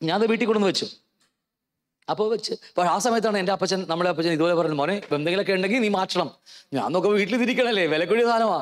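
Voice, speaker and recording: Keeping a very even loudness, a man speaks at a high pitch with ordinary pitch variation against a quiet background. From Kerala, India. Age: 50s. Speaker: pastor. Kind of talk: sermon. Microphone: handheld.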